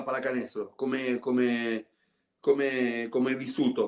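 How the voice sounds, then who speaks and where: Against a quiet background, a man with a Spanish accent speaks with fairly even intonation. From Argentina. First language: Spanish (speaking Italian). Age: 50s. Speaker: former basketball player and TV commentator; guest. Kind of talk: casual interview. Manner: halting, many repetitions. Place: home room. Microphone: video call.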